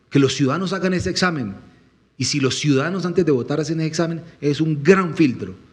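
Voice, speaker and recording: Delivery is very fast and animated, with ordinary pitch variation. Audible room echo surrounds the voice. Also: man, fairly high pitch for a man. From Colombian Llanos (Meta, Villavicencio area). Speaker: presidential candidate. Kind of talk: panel interview.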